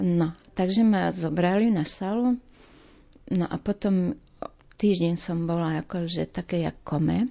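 A woman with an eastern Slovak accent speaks at a fairly slow pace in a dark, mellow tone and a fairly low pitch, with ordinary pitch variation against a quiet background. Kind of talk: testimony.

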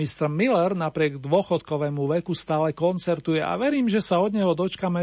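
A man at a fairly quick pace with ordinary pitch variation, in an unremarkable speaking voice. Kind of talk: radio DJ patter introducing oldies songs, warm and polished. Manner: smooth, upbeat, chatty, with a friendly, slightly formal old-school radio tone.

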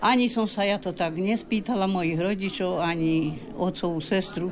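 With crowd noise in the background and audible room echo, a woman talks with ordinary pitch variation. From Slovakia, Hont region (Hrušov). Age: 80s+. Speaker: village elder demonstrating folk traditions. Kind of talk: interview. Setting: folk house at festival.

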